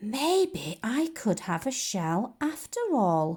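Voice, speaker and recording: A female-sounding put-on character voice, fairly high and very slow, with very wide pitch swings, on a very clean recording with a silent background. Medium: read story. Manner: eager, enthusiastic.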